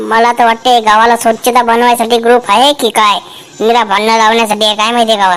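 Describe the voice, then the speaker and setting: In a cartoonish character voice pitched fairly high, a woman speaks in a flat monotone at a moderate pace with very even loudness. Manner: chatty, rustic and colloquial.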